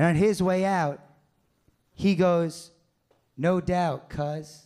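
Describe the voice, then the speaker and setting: Speech comes at a very slow pace with fairly even intonation over a quiet background. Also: man. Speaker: stand-up comedian. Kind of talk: stand-up. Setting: stage with audience. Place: stage. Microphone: handheld.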